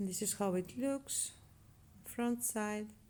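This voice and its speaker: A woman's fairly high-pitched voice with a non-native accent, at a very slow pace. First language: not English. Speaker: crochet tutorial maker. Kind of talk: tutorial.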